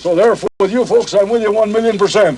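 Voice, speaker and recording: A man talks at a very fast pace in a high pitch. Noticeable background noise sits behind him. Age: 80s+. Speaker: former resort owner and radio evangelist. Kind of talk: impromptu speech to a crowd.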